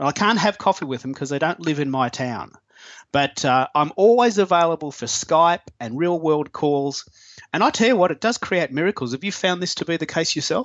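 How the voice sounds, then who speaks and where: A man with an Australian accent talks at a fairly quick pace in a high pitch. His intonation is lively. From Melbourne, Australia. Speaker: online business owner. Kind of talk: casual interview chat. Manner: casual, chatty, hesitant with fillers.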